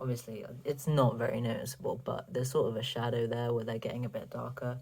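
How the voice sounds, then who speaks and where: Speaking at a fairly quick pace, a man uses a medium pitch and flat, monotone intonation. His tone is dark and mellow and somewhat breathy. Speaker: vlogger. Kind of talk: casual vlog update. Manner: casual, filler-heavy.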